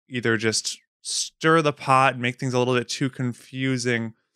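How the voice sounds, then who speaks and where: With an American accent, a man of medium pitch speaks at a fairly slow pace in a bright, sharp tone, the sound dry and close with no echo on a very clean recording with a silent background. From Wisconsin. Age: 30s. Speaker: podcast producer. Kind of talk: casual chat.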